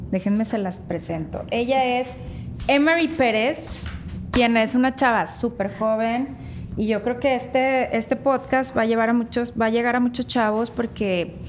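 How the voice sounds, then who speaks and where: Against noticeable background noise, a woman speaks at a fairly slow pace in a high pitch. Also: ordinary pitch variation. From Mexico, Nuevo León (Guadalupe). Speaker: podcast host. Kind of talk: interview. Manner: animated.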